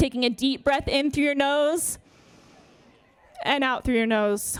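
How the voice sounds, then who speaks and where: Loud and high-pitched, a woman speaks at a fairly slow pace with ordinary pitch variation. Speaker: yoga therapist. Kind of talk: public speech then guided yoga warm-up.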